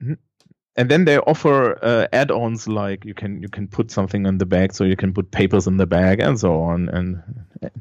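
A man with a German accent, fairly low pitch, fairly slow pace and ordinary pitch variation. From Germany. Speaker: schoolteacher. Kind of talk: casual interview.

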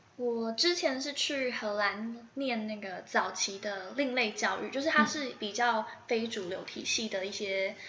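With hardly any pauses, the voice moves at a fairly slow pace with ordinary pitch variation, against audible room echo and noticeable background noise. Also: woman, fairly high pitch for a woman. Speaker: preschool teacher and storytelling youtuber. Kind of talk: interview answers. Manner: animated.

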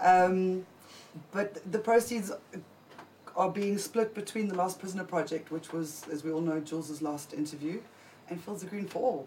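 A woman talks fairly slowly with ordinary pitch variation. Noticeable background noise runs underneath. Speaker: cannabis show co-host. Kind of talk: casual live show chat. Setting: studio.

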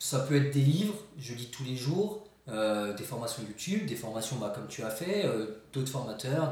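A man at a medium pitch, fairly slow but with hardly any pauses, lively in intonation, amid audible room echo and noticeable background noise. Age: 30s. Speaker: real estate investor. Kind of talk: casual interview.

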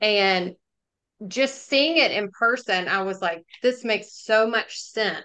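A woman speaks in a Southern US accent at a fairly slow pace. Her bright, sharp tone sits at a fairly high pitch with ordinary variation. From Jackson, Mississippi. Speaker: business development executive. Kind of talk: interview.

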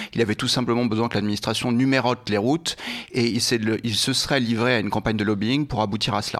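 Very fast and with fairly even intonation, a man speaks at medium pitch. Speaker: former lobbyist, trainee judge. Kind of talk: interview. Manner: hesitant, many fillers; warm.

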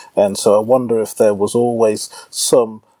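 A man talks at a moderate speed, recorded with a dry, close sound and no echo. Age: 30s. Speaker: law lecturer. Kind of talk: casual chat.

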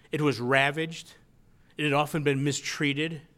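A man with a Western New York accent speaks at a moderate pace in a fairly high voice with a bright, sharp tone, on a very clean recording with a silent background. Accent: Western New York (Inland North) American. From Western New York, rural county near Buffalo. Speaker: author. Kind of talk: lecture.

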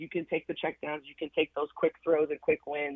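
Talking at a fairly quick pace, a woman with a fairly low pitch has an unremarkable speaking voice. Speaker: sports journalist. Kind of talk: sports radio interview. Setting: phone call.

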